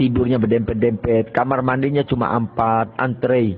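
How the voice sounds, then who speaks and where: A man speaks at a very slow pace. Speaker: Islamic cleric and boarding school founder. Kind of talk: life story interview.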